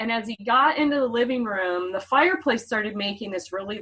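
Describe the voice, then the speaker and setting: A woman's bright, sharp, fairly high voice with lively intonation, at a moderate pace, with an American accent. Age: 50s. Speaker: podcast host's sister sharing paranormal childhood stories. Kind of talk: casual chat.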